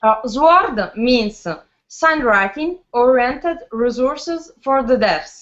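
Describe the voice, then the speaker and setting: Very slow speech with lively intonation and an Italian accent. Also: woman, high pitch for a woman. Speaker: linguist, researcher. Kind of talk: conference presentation. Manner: halting, many fillers.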